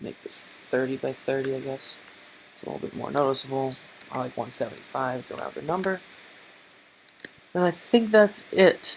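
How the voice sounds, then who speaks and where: A man with a fairly high voice speaks with lively intonation, big swings in loudness and long, frequent pauses over noticeable background noise. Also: moderate pace. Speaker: game development tutor. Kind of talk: tutorial. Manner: put-on mobster-style voice.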